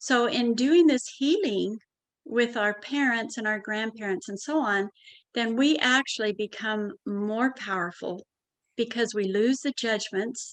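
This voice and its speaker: This woman has an unremarkable speaking voice with a fairly high pitch and ordinary pitch variation. She speaks at a fairly slow pace. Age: 60s. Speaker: family constellation therapist. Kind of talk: interview.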